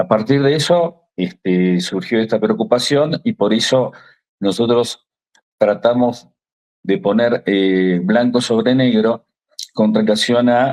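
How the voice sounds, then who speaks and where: Very slowly and at a very even loudness, a man with an Argentine accent speaks in a medium pitch with ordinary pitch variation. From Argentina. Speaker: lawyer, legal association secretary. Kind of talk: TV interview. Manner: hesitant, many fillers.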